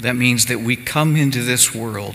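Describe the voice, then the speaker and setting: A man talks over noticeable background noise. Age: 60s. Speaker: pastor. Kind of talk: sermon. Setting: church service streamed live.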